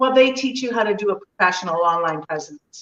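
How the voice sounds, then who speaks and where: A normal speaking voice at a moderate pace, with ordinary pitch variation and a dry, close sound with no echo. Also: woman. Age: 60s. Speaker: fitness instructor. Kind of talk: interview.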